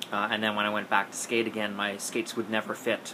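Noticeable background noise sits behind the voice. A man speaks at a fairly low pitch. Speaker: skating coach. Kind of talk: casual advice vlog. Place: home room. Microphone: phone near.

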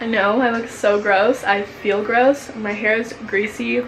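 Sounding tired, a woman speaks very slowly amid noticeable background noise. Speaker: vlogger. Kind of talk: casual vlog chat. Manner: ill, congested, tired voice.

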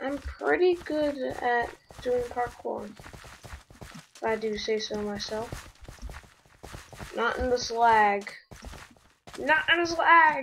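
Amid noticeable background noise, a woman with a high voice talks very slowly, with long, frequent pauses and lively intonation. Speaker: gaming youtuber. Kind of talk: gameplay commentary. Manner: animated.

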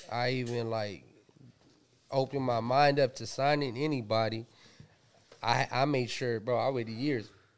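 Fairly even intonation runs through this man's speech, given at a moderate pace with an American accent. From Pomona, Southern California. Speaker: rapper and producer. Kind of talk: casual interview chat. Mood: relaxed, laid-back. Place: studio. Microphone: studio mic.

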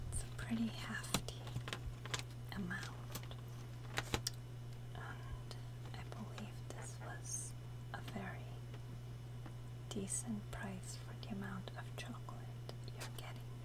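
A woman's very slow speech with long, frequent pauses over loud background noise. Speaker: ASMR creator. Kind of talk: ASMR chocolate tasting. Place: kitchen. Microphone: lapel.

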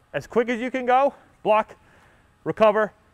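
A man is heard with a dry sound with no echo over a quiet background. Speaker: baseball coach. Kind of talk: coaching instructions. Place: hall. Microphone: lapel.

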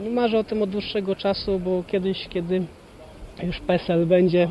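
High-pitched male voice in monotone, flat intonation, over noticeable background noise. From Poland, Jelenia Góra. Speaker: freestyle kayaker. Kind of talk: interview.

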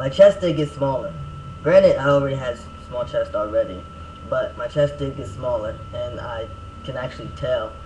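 A man at a moderate pace, with big swings in loudness over noticeable background noise. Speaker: vlogger giving a personal update. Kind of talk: casual vlog chat. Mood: relaxed, a little self-mocking. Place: home room. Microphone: webcam.

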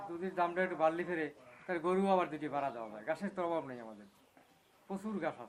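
A man with an unremarkable speaking voice and fairly high pitch. His intonation is lively, with big swings in loudness. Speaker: dairy farmer. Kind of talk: interview.

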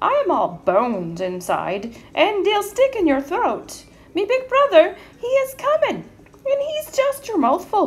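A woman's put-on character voice at an extremely high pitch, at a fairly slow pace. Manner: nervous, pleading.

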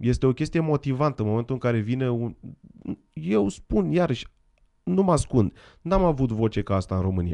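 A man talks at a fairly quick pace in a dark, mellow tone, with very wide pitch swings. The background is quiet. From Romania. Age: 40s. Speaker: guest. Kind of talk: interview with live interpreting. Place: studio. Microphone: studio mic.

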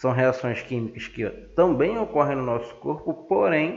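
A fairly high-pitched man with a Brazilian accent, very wide pitch swings, and audible room echo. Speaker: science teacher. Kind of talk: lecture.

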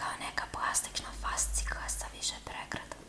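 A woman whispers in a soft-spoken way. Noticeable background noise sits behind her. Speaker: ASMR creator. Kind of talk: soft ASMR show-and-tell. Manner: soft close-mic ASMR whisper. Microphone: phone near.

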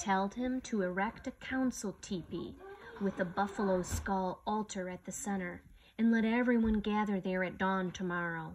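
With a dramatic tone and a somewhat breathy voice, a woman speaks at a fairly slow pace and with fairly even intonation over light background noise. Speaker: storyteller reading a picture book aloud. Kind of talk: slow, solemn reading aloud of a legend, with a hushed, reverent storybook tone. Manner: measured and dramatic, pausing for effect. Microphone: phone near.

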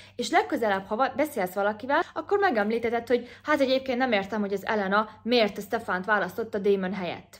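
A normal speaking voice, a woman's, fairly high in pitch with ordinary pitch variation at a fairly quick pace. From Hungary. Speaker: YouTuber. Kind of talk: vlog-style advice talk. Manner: casual, chatty. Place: home room. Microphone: phone near.

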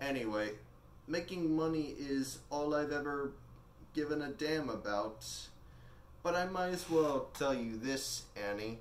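His pace is fairly slow, and this man shows ordinary pitch variation. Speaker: actor performing a monologue. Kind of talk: dramatic monologue in character as a rich older man. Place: home room. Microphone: camera far.

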